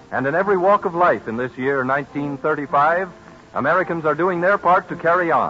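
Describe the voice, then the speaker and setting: Music plays behind a man who speaks fairly quickly in a high pitch with lively intonation. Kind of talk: 1930s radio commercial announcer read, institutional advertising. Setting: vintage 1935 radio broadcast recording. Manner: formal, stately, authoritative.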